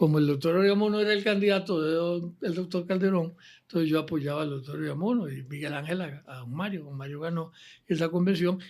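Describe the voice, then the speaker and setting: Speaking at a fairly quick pace, a man with a high pitch shows ordinary pitch variation and big swings in loudness. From Costa Rica (San José). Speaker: former politician. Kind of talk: interview. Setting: office.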